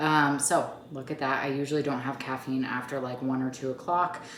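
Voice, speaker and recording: A woman's very deep, low voice amid noticeable background noise and audible room echo. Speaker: mom vlogger and fitness coach. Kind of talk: sales pitch; casual vlog chat. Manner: chatty, filler-heavy; quiet.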